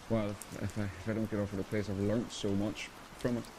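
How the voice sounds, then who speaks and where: At a fairly quick pace, a man with a Northern Irish accent speaks in a fairly low pitch. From Ireland. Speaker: actor. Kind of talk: interview answer.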